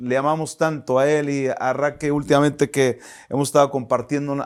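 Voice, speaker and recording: Here is a man with an unremarkable speaking voice. His pitch sits fairly high. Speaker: pastor. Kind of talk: sermon. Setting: online church service.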